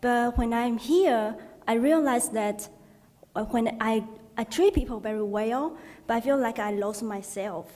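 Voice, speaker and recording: A woman with a Chinese accent speaks at a fairly slow pace and a fairly high pitch. She pauses long and often, with ordinary pitch variation. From Taiwan. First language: Mandarin Chinese. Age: 20s. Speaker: doctoral student, audience member. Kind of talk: audience comment.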